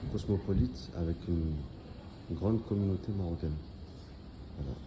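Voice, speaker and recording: A man speaks at a fairly quick pace in a very deep, low voice that is somewhat breathy and dark and mellow in tone, with ordinary pitch variation. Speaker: travel vlogger. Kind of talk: casual vlog narration. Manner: halting, many repetitions.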